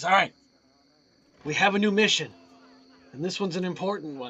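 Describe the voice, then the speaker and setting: A man's raspy, high-pitched put-on character voice at a fairly quick pace. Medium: actual play.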